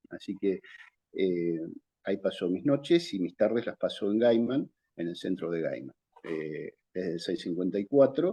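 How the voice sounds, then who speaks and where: A man's fairly low, dark, mellow voice with a Rioplatense accent, lively intonation and a moderate pace, broken by long, frequent pauses, in a dry, close sound with no echo. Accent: Argentine Spanish (rioplatense-type, voseo). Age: 60s. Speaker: vocational school teacher. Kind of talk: interview. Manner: hesitant, with many fillers.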